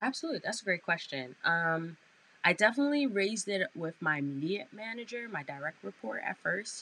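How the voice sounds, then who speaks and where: A woman with a New York accent, fairly quick pace, medium pitch, very wide pitch swings and a bright, sharp tone. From Brooklyn, New York. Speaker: advertising sales manager. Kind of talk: interview. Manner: animated.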